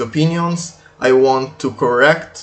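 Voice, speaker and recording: A man's medium-pitched voice with a non-native accent and fairly even intonation. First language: not English. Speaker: video game commentator. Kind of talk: unscripted video commentary. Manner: halting, many fillers.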